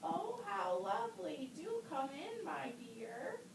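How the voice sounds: A woman uses a cartoonish character voice at an extremely high pitch, speaking slowly with vocal fry and big pitch swings over clear background noise.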